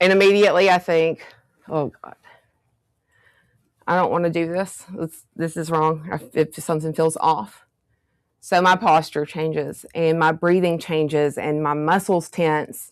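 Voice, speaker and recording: A woman speaks at a fairly slow pace with a Southern US accent, a fairly low pitch and fairly even intonation. Long, frequent pauses break up her speech on a very clean recording with a silent background. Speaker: workshop presenter. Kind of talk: workshop talk. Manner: conversational.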